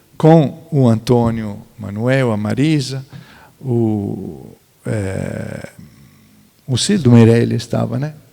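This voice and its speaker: This man speaks with an Italian accent. His tone is dark and mellow, with ordinary pitch variation. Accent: Italian-accented Brazilian Portuguese. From central Italy, near Florence. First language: Italian (speaking Portuguese). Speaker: architect and museologist. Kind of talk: panel talk. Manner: halting, many fillers.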